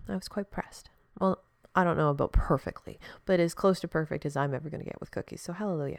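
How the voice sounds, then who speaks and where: A woman talks at a very fast pace. Her voice is quiet. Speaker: podcast host. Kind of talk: solo podcast monologue. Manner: casual, rambling with fillers.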